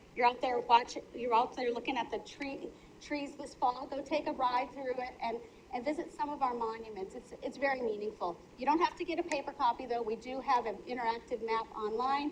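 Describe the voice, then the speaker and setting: With an American accent, a woman talks at a fairly quick pace in a high voice with ordinary pitch variation over noticeable background noise. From Minnesota. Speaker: county official. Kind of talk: public meeting presentation. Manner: fast.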